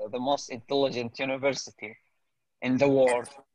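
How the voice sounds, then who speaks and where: A man with a medium pitch speaks in an Arabic accent. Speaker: English learner. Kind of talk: casual conversation practice. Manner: halting.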